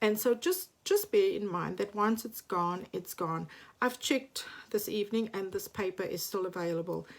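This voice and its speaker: On a very clean recording over a silent background, a woman talks at a moderate pace. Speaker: papercraft demonstrator. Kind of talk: live craft product demonstration. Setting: home craft space, livestream late at night.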